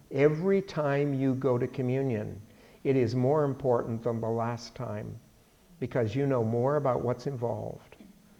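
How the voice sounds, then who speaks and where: A man of medium pitch with a dark, mellow tone talks at a moderate pace with fairly even intonation. Audible room echo is present. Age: 70s. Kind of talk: bible study lecture. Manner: conversational.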